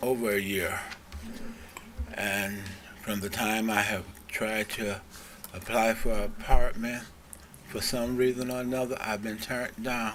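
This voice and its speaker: Against noticeable background noise and audible room echo, a man speaks fairly slowly at a medium pitch with fairly even intonation. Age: 70s. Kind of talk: public comment at city meeting. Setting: city commission meeting.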